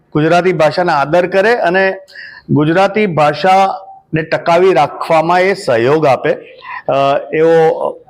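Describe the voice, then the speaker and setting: A man's fairly even intonation against noticeable background noise. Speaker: singer and composer. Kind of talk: interview statement.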